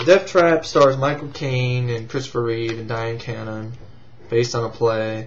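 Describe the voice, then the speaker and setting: Noticeable background noise sits behind a man of medium pitch speaking at a moderate pace with ordinary pitch variation. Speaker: VHS collector and movie reviewer. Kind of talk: casual talk to camera.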